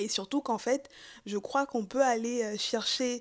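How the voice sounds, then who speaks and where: Against a silent background in a very clean recording, a woman speaks in a fairly high pitch. Her pace is fairly slow, with ordinary pitch variation. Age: 20s. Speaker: podcast guest, feminist believer. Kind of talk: interview. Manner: hesitant, many fillers.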